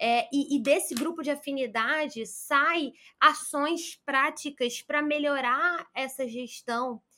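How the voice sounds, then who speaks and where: A woman projects a raised, high-pitched voice with a bright, sharp tone and fairly even intonation. She speaks at a very slow pace with hardly any pauses. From Brazil, Rio de Janeiro. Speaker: career consultant and headhunter. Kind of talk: interview.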